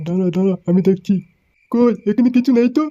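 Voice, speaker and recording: The cartoonish character voice sits at a fairly high pitch. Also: moderate pace. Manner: folksy, warm.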